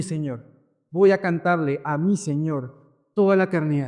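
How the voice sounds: Recorded very cleanly against a silent background, a man talks at a fairly slow pace. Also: slightly mellow tone.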